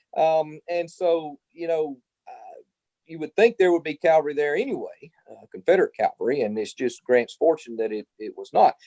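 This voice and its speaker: In an ordinary speaking voice, a man talks at a moderate pace, fairly high in pitch with lively intonation, in a dry, close sound with no echo. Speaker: historian and professor. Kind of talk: interview Q&A.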